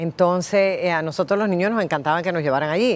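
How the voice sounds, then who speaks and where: At a fairly quick pace, a woman with a Cuban accent speaks at a fairly low pitch with ordinary pitch variation. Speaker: writer and former TV presenter. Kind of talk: interview storytelling.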